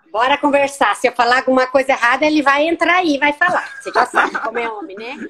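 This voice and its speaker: With a slight Minas Gerais accent, a woman with a high voice speaks in a raised, projected voice at a very fast pace with hardly any pauses, ordinary pitch variation and big swings in loudness over noticeable background noise. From Brazil, São Paulo, Minas Gerais family. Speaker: former missionary. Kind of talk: casual chat. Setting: video call.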